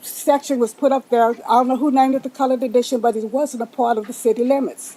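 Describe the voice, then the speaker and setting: A woman with a Texan accent speaks very fast in a high voice with a dark, mellow tone and fairly even intonation. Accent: Texan Southern US. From Texas, Pflugerville area. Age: 80s+. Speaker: public commenter at council meeting. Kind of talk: public comment. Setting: city council chamber.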